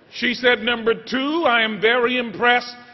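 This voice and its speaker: Talking at a moderate pace with an American accent, a man is heard over noticeable background noise. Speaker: senate chaplain giving a commencement speech. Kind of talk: commencement speech.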